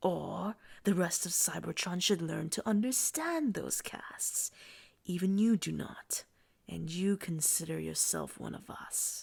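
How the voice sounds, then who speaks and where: A woman whispers in a put-on character voice. Her pace is fairly slow. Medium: read story. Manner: commanding, intense.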